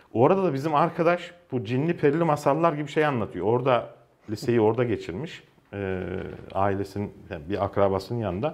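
A man talks fairly quickly, his pitch swinging very widely. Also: medium pitch for a man. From Ankara, Turkey; Turkey. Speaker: journalist. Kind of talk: casual interview. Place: studio. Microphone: lapel.

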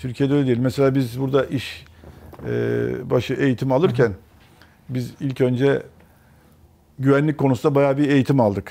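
The speaker is a man at a moderate pace. His intonation stays fairly even, with long, frequent pauses. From Turkey, raised in many places incl. Erzurum; Turkey. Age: 50s. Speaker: mechanical engineer; interview guest. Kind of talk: interview. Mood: relaxed, smiling. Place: studio. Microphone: lapel.

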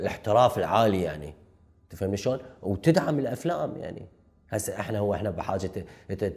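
Against a quiet background, a man with a fairly low pitch talks fairly quickly, somewhat breathy, with lively intonation. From southern Iraq (Nasiriyah, Dhi Qar); Iraq. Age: 30s. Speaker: film director; guest. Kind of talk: interview. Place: studio. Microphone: lapel.

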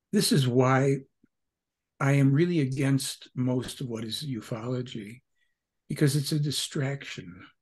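Speaking at a fairly slow pace against a quiet background, a man sounds somewhat breathy, with ordinary pitch variation. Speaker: podcast guest. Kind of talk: interview answer. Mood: earnest, emphatic. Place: home room.

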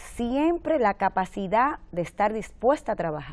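The pitch swings very widely, rising and falling far. Delivery is very slow, in a very clean recording with a silent background. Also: woman. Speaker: mayor. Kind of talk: TV interview.

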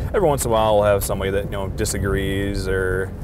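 Loud noise fills the background as a man speaks very fast. There is no echo, so the sound is dry. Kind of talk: interview answer. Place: car. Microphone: lapel.

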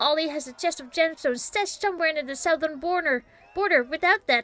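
A woman puts on a high-pitched character voice. The sound is dry and close with no echo. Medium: game stream. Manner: flattering, courtly, wheedling.

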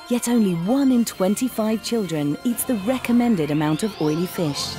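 There is faint music behind a woman whose pitch swings very widely as she talks at a moderate pace, the sound dry with no echo. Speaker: voice actor. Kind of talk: TV commercial read. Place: booth. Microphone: studio mic.

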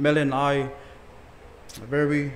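A man's voice over light background noise. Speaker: pastor. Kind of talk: sermon. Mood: grateful, warm. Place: church. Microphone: podium.

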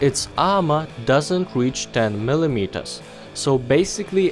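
Music plays in the background as a man speaks at a moderate pace. His intonation is lively. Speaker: gaming video narrator. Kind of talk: game guide voice-over.

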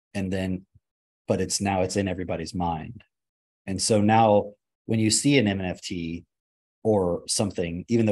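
This is a man with a fairly low pitch. His tone is dark and mellow. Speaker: podcast host and father. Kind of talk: casual chat. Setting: video call.

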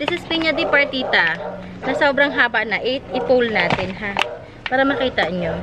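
Over loud background noise, a woman projects her high-pitched voice at a moderate pace with lively intonation. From Philippines. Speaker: plant seller vlogger. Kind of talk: casual vlog sales talk. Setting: outdoors in garden. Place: garden.

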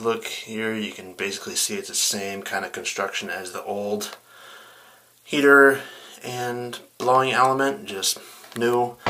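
Light background noise sits behind a man speaking with ordinary pitch variation. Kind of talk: tutorial. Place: home room. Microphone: phone near.

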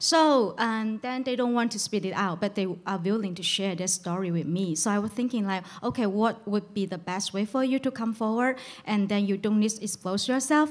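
A woman's fairly high voice in a Chinese accent, with ordinary pitch variation and a moderate pace. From China. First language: Mandarin Chinese. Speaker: journalist. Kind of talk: panel discussion. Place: shop. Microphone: handheld.

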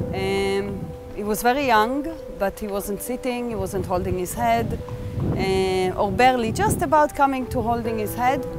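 A woman speaks at a fairly slow pace, with clear music in the background. The sound is dry, with no echo. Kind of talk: interview answer. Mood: earnest, reflective. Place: open country.

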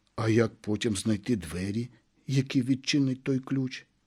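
Simple, plain reading aloud

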